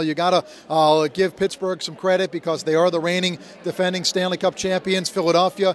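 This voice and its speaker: A man's high voice, flat and monotone, at a fairly quick pace over noticeable background noise. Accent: American. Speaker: radio play-by-play announcer. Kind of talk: radio interview answer about hockey.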